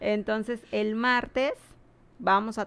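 Her voice sits fairly high in pitch. This woman speaks at a very slow pace. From Mexico, Cancún. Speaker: hurricane survivor sharing experiences. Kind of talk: casual chat.

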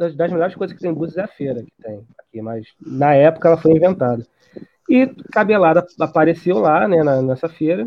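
In a high voice, a man talks at a fairly quick speed. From Rio de Janeiro, Brazil. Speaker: researcher and author. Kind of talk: interview. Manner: halting, many repetitions.

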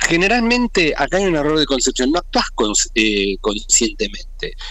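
The speaker is male. His delivery is fairly slow. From Argentina. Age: 40s. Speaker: evangelist. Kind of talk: interview. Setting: phone call.

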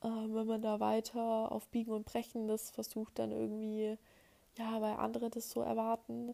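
A woman's voice at a moderate pace, with very even loudness. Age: 20s. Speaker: podcast host. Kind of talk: solo monologue podcast. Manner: hesitant with many filler sounds.

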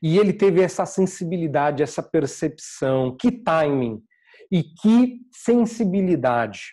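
High-pitched male speech, dark and mellow in tone, at a fairly slow pace, with very wide pitch swings and very even loudness over a quiet background. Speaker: preacher. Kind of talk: sermon. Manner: animated, conversational preaching with humor; explanatory, teacherly pace.

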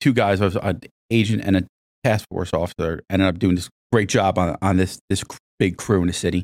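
In an American accent, a man with a very deep, low pitch talks at a fairly quick pace, the sound dry and close with no echo on a very clean recording with a silent background. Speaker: police officer and narcotics instructor. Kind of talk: casual chat. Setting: studio.

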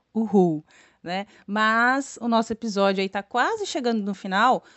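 A woman with a fairly high pitch talks at a fairly slow pace with ordinary pitch variation in a southeastern Brazilian accent. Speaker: podcast co-host, teacher. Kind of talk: casual educational chat. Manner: animated.

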